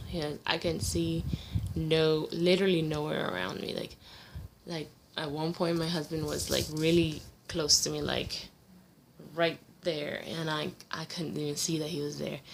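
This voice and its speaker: The speech moves at a fairly slow pace with long, frequent pauses, vocal fry and ordinary pitch variation. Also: woman, very deep, low pitch for a woman. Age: 20s. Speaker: vlogger with visual impairment. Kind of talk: personal vlog. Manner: hesitant, many fillers.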